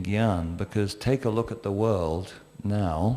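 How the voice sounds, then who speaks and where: A very slow, fairly low-pitched man in a dark, mellow tone with an English accent. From England. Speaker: panelist in spiritual discussion. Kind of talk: panel discussion.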